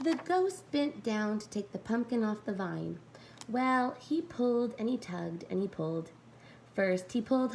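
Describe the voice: Lively intonation over plain reading aloud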